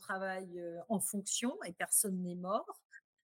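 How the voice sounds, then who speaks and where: A woman's monotone, flat delivery at a very slow pace. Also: dry, close sound with no echo. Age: 50s. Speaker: retail executive. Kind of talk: interview. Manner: hesitant, with frequent fillers.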